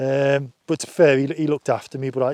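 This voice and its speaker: A man with a northern English accent, fairly high pitch, monotone, flat intonation and moderate pace, in a dry, close sound with no echo. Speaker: outdoor vlogger. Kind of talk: casual chat. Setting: outdoors. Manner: halting.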